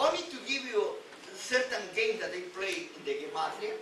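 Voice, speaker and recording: A man with a Spanish accent speaks in a raised, projected voice, his pitch swinging very widely, with audible echo in the room. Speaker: rabbi teaching weekly Torah portion. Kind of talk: religious teaching lecture. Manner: halting, frequent repetitions.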